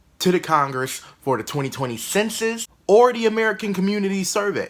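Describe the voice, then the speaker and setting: A man speaking at a moderate pace. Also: very clean recording, silent background. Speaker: comedian. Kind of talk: comedic news commentary.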